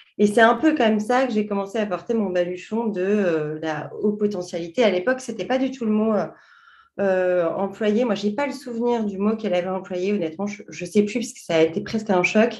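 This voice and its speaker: A woman speaks at a fairly quick pace in a medium pitch with ordinary pitch variation, in an ordinary speaking voice. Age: 40s. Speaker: journalist and coach. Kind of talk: interview.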